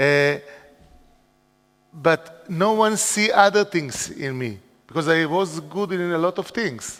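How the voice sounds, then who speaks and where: There's a man talking at a very slow pace. His pitch variation is ordinary. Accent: Israeli. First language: Hebrew. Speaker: educator, school founder. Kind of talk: conference talk. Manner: halting.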